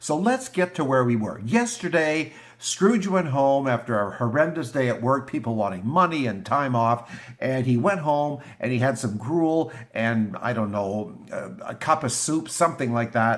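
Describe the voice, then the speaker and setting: A man of medium pitch speaks in a normal speaking voice at a moderate pace, with lively intonation. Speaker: YouTuber reading classic literature. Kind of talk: casual vlog chat before a reading.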